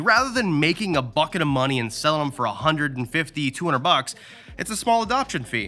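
Faint music can be heard behind the voice. A man delivers his words at a moderate pace. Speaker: reptile youtuber. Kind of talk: casual vlog tour commentary. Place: shop. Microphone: phone near.

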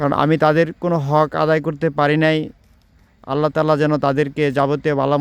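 In a monotone, flat intonation, a man speaks at a fairly high pitch. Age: 40s. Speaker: video blogger. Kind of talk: personal reflection monologue.

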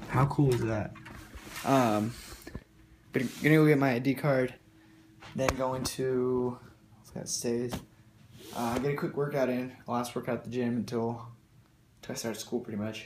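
A man speaks at a moderate pace in a flat monotone, with long, frequent pauses, big swings in loudness, audible room echo and light background noise. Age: young. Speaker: fitness vlogger. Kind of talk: casual vlog. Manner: casual, filler-heavy. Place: home room. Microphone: phone near.

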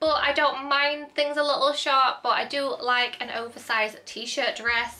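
A woman speaks in a raised, projected voice at a high pitch. She has a Northern English accent. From northern England, Hull, East Yorkshire; northern England. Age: 20s. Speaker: YouTuber. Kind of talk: haul video, casual chat; casual vlog chat. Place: home room.

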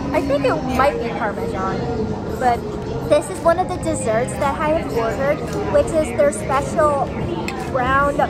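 A woman speaks over loud music in the background. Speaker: food vlogger. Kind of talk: casual vlog chat. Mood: cheerful, relaxed. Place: cafe. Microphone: phone near.

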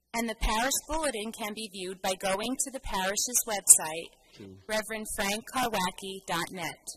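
A woman at a moderate pace, with ordinary pitch variation and light background noise. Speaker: lay reader at mass. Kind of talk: church announcements reading. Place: church. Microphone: podium.

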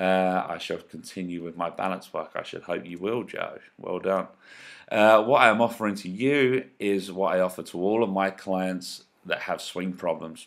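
In a very clean recording with a silent background, a man with a very deep, low pitch speaks at a moderate pace, his loudness swinging widely. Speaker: golf coach. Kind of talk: sales pitch. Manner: monotone at times.

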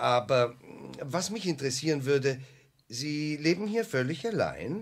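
Doing a put-on character voice, a man speaks fairly slowly at a fairly high pitch with big pitch swings.

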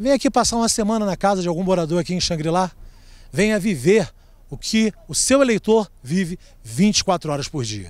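This man's voice sits high in pitch. He talks with lively intonation. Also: moderate pace. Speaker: street reporter. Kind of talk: field report. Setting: outdoors.

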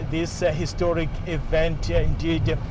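Against noticeable background noise, a man talks at a moderate pace in a dry sound with no echo. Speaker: field news reporter. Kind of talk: live news commentary. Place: car.

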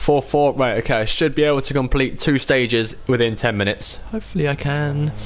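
A man with a British accent talks at a fairly quick pace, hardly pausing at all. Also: fairly high pitch for a man, ordinary pitch variation. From UK. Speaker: gaming live streamer. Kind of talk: live gameplay commentary. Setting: home live stream. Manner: animated.

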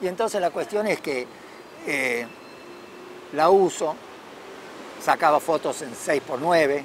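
In a dry sound with no echo and light background noise, a man with a fairly high pitch speaks at a very slow pace, with ordinary pitch variation and long, frequent pauses. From Argentina, Córdoba. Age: 70s. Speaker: camera inventor and photography enthusiast. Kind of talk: interview monologue. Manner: hesitant, many fillers and repetitions. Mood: reflective, nostalgic. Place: garden. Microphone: phone near.

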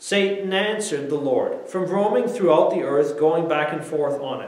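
Audible room echo around a man talking at a moderate pace. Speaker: preacher. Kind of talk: sermon. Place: church.

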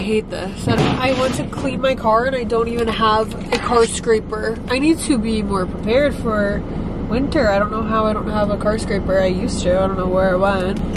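Loud background noise fills the recording, though the sound is dry with no echo. A woman speaks with ordinary pitch variation. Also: moderate pace. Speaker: vlogger. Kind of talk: casual vlog chat. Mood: chatty, upbeat. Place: car. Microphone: phone near.

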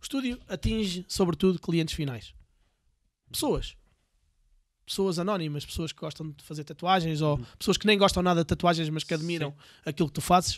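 A man's high-pitched voice over a quiet background. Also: dry sound with no echo. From Portugal, Viseu; Portugal. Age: 40s. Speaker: entrepreneur, tattoo business owner; podcast guest. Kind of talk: casual interview. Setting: in person, Viseu. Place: studio. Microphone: studio mic.

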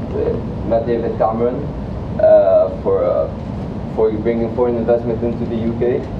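Speaking at a moderate pace with long, frequent pauses, a man is heard over noticeable background noise. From Egypt. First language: Arabic. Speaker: recent graduate giving a talk about his internship. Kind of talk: motivational lecture. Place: classroom.

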